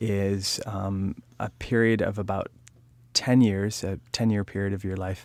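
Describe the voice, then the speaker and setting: The man has an unremarkable speaking voice, pitched fairly low, with fairly even intonation. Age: 30s. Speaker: interviewer. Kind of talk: oral history interview.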